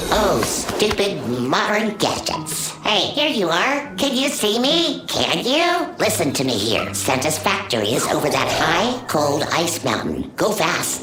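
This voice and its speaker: A cartoonish character voice in a middle pitch at a fairly slow pace, over loud background noise. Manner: grumbling, theatrical.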